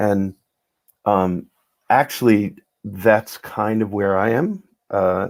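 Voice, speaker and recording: A man speaks at a fairly low pitch with fairly even intonation. The recording is very clean, with a silent background. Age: 60s. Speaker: psychiatrist and spoken word organizer. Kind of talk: casual chat.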